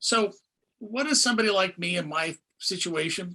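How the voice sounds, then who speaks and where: Bright and sharp in tone, a man speaks with lively intonation. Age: 60s. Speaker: interview show host. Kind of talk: interview.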